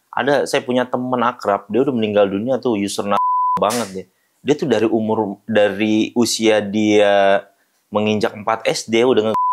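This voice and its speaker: With a plain, everyday voice, a man speaks at a moderate pace and with fairly even intonation in a very clean recording with a silent background. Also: medium pitch for a man. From Jakarta, Indonesia. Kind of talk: interview testimony.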